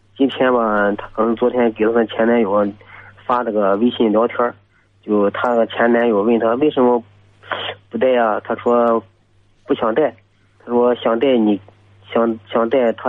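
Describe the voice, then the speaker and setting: Fairly even in intonation, the speech moves at a moderate pace over noticeable background noise. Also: man. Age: 20s. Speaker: caller. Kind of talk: call-in advice talk. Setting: phone call. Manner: halting.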